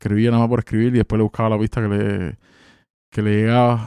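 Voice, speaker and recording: Speaking very fast in a Cuban accent, a man has a dark, mellow tone in a dry, close sound with no echo. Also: very clean recording, silent background. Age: 30s. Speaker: rapper. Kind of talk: casual chat. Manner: animated.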